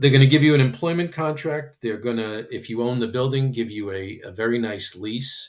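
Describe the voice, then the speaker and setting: Against a quiet background, a man talks with an American accent in an unremarkable speaking voice. His medium pitch shows ordinary variation. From Michigan. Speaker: practice transition consultant. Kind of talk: podcast interview.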